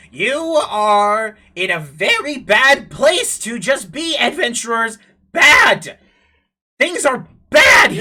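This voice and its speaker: A woman's raspy, shouted put-on character voice, high in pitch, at a very slow pace with long, frequent pauses. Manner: warning, ominous.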